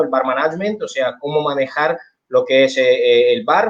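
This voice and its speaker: A man speaks with an Italian accent at a fairly high pitch. His pace is moderate and his pitch varies in an ordinary way. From Italy. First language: Italian (speaking Spanish). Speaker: bartender and bar management instructor. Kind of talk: online seminar talk.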